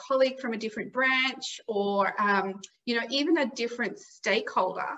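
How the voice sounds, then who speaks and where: A woman speaks at a high pitch with ordinary pitch variation. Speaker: workplace relationships consultant. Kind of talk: interview. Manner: fast.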